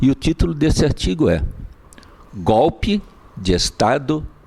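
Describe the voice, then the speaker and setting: A man talks fairly slowly in a fairly high voice with vocal fry and long, frequent pauses. His pitch swings very widely, but his loudness stays very even. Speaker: lawyer. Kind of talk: lecture. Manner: soft-spoken; formal. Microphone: mic not helping, too quiet.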